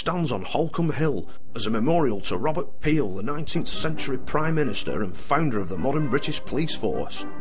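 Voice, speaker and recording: A man at a fairly quick pace with very wide pitch swings, music in the background. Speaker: roving reporter. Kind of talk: documentary voice-over narration.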